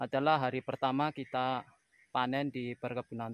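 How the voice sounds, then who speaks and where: Against a quiet background, a man speaks fairly slowly, the sound dry with no echo. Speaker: farm worker vlogger. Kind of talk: casual vlog chat. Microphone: phone near.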